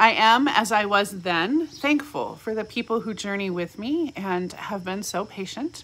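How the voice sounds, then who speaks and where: Her intonation rises and falls with plenty of life. This woman speaks at a fairly slow pace. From California. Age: 40s. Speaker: pastor. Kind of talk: reflective devotional talk. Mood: warm, reflective. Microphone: phone near.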